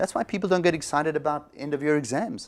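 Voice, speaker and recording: In a very clean recording with a silent background, an ordinary speaking voice moves at a fairly quick pace with lively intonation. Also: man. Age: 60s. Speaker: psychologist. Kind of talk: interview.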